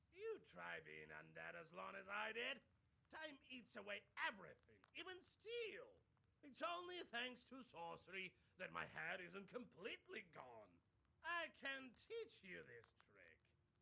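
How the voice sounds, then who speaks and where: A put-on character voice at a fairly slow pace. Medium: video game. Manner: mocking, boastful.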